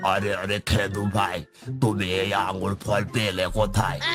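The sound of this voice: A man in a cartoonish character voice, fairly low in pitch and fairly slow, with clear music in the background.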